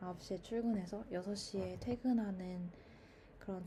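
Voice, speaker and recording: Her intonation fairly even, a woman speaks in a somewhat breathy voice. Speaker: YouTuber. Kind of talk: casual monologue. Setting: recording at mother's home. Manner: stream of consciousness, with fillers.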